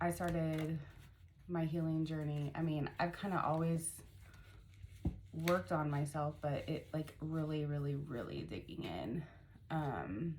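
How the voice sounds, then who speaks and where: In a room with audible echo, a woman speaks at a fairly slow pace with a very deep, low pitch. Her intonation is fairly even, and she leaves long, frequent pauses. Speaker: spiritual mentor and life coach. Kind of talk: casual vlog monologue. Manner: hesitant, many fillers.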